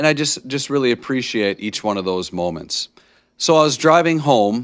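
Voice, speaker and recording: On a very clean recording with a silent background, a man with a normal speaking voice and an American accent talks at a moderate pace with lively intonation. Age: 30s. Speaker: podcast host, teacher. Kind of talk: motivational monologue. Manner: casual, many filler words.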